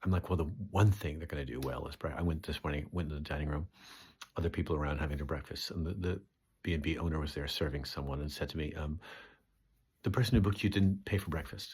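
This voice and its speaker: A man with a very deep, low pitch, somewhat breathy, at a very fast pace. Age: 60s. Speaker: comedian. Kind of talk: casual vlog monologue. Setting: B&B room while touring. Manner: animated.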